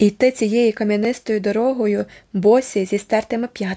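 Someone does plain reading aloud, keeping the intonation fairly even.

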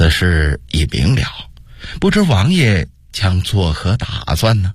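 In a put-on character voice, a man speaks low and slow with very wide pitch swings. A slightly husky edge runs through it.

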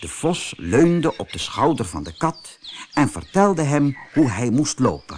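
Slightly husky at the edges, a man's medium-pitched voice moves through big pitch swings. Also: fairly slow pace.

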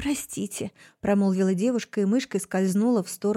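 An unforced reading voice, its pitch shifting in an ordinary way

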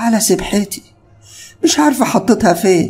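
The put-on character voice is strained and fairly high in pitch, delivered at a fairly slow pace.

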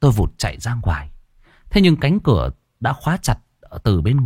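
The background stays quiet. Over it, the text is read aloud plainly.

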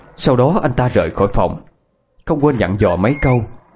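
The background is quiet as someone is reading aloud in a natural voice.

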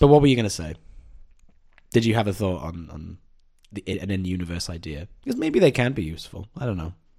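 A man talks at a fairly quick pace in a dark, mellow tone with lively intonation. His loudness swings a lot, and he leaves long, frequent pauses. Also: fairly low pitch for a man. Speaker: podcast host. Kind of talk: casual chat; scripted narration.

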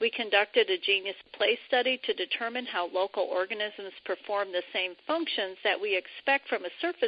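A woman talks at a fairly slow pace. She has an ordinary speaking voice with a fairly high pitch. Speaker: retired civil engineer, biomimicry professional. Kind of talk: interview.

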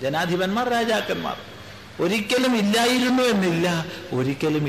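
A man speaks in a room with audible echo, and noticeable background noise runs underneath. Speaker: spiritual teacher. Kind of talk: religious discourse. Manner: measured, phrase-by-phrase delivery.

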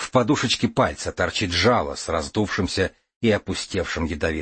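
A natural reading voice moves with lively intonation, and the background stays quiet.

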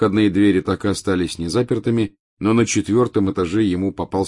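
The voice is plain reading aloud. The background is quiet.

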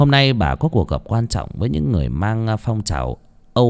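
It is plain reading aloud. The delivery is just that.

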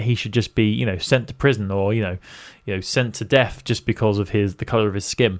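A man talks at a medium pitch with ordinary pitch variation. His tone is animated. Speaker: podcast host. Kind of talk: casual banter chat. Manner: joking, animated.

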